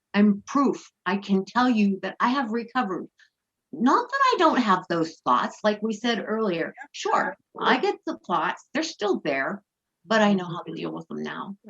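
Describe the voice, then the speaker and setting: A woman talks at a medium pitch, fairly slowly, with very wide swings in pitch. The sound is dry and close, with no echo. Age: 60s. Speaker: interview guest, eating disorder recovery advocate. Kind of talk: podcast interview.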